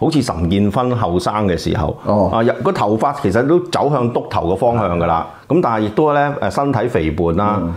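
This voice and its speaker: In a Hong Kong accent, a man speaks at a moderate pace with fairly low pitch, very wide pitch swings and very even loudness. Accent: Hong Kong Cantonese. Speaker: film critic co-host. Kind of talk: casual chat. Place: studio. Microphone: lapel.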